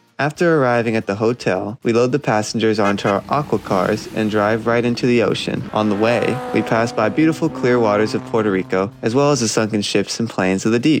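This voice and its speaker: A man at medium pitch talks at a fairly quick pace with hardly any pauses, ordinary pitch variation and very even loudness. Noticeable background noise is present. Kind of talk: mock travel infomercial read.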